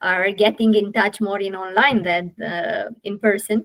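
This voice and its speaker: A woman speaks at medium pitch with a Romanian accent. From Romania, Galați. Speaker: podcast host, family constellation facilitator. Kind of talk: interview conversation. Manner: halting, many fillers.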